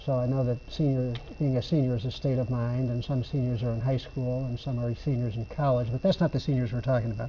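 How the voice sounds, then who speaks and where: Very fast and somewhat breathy, a man speaks with fairly even intonation and a dark, mellow tone. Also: medium pitch for a man, hardly any pauses. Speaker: housing developer and senior internet program leader. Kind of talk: TV talk show interview.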